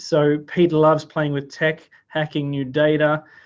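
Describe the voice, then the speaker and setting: A man with an Australian accent and a fairly high pitch, against a quiet background. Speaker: workshop host. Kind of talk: event introduction. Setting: video call.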